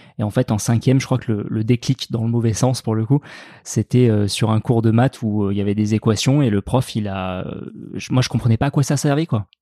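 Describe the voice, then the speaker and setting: At a fairly quick pace, a man with a medium pitch and a dark, mellow tone talks with fairly even intonation, recorded very cleanly against a silent background with a dry, close sound and no echo. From France, Dordogne (Périgord noir, Sarlat). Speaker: farmer and cooking video maker. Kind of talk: casual chat.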